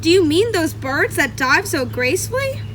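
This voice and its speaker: A loud, put-on character voice moves at a moderate pace. Clear background noise is present. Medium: read story. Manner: loud, hearty.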